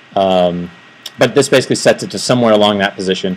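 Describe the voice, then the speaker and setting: A man with a fairly low voice talks at a very fast pace with fairly even intonation over noticeable background noise. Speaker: software developer giving a tech talk. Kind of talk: technical presentation. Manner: hesitant, many fillers.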